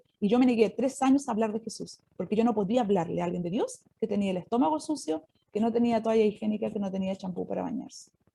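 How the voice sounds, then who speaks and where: A woman's somewhat breathy, dark, mellow voice at a very fast pace with ordinary pitch variation. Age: 60s. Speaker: nun and prison chaplain. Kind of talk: inspirational talk.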